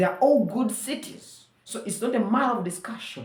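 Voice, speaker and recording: A woman speaks in a Ugandan accent at fairly high pitch and a moderate pace, with vocal fry. Audible room echo surrounds her voice. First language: Luganda. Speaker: vlogger. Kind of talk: monologue commentary.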